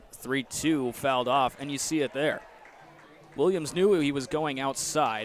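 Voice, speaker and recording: With a normal speaking voice, this man talks at a moderate pace. His pitch is fairly high, with ordinary pitch variation. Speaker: sports broadcaster, play-by-play announcer. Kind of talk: TV baseball play-by-play.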